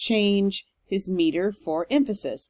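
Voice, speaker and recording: A woman speaks with an American accent and very wide pitch swings. The recording is very clean, with a silent background. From Texas. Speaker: professor. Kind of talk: lecture. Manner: hesitant, with frequent um fillers.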